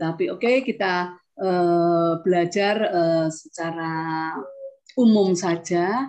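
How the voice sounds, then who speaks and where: A very slow pace with ordinary pitch variation. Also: woman. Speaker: meditation instructor. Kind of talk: online group session. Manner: soft-spoken. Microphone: too quiet.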